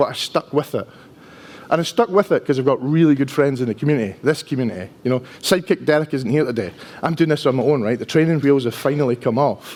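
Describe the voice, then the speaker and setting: A man with a strong Dundee accent talks at a very fast pace, his pitch fairly high with ordinary variation. Noticeable background noise runs beneath him. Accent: strong Dundonian Scottish. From Scotland, Dundee. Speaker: enterprise architect, conference speaker. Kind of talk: conference talk. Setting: stage with audience. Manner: casual, conversational.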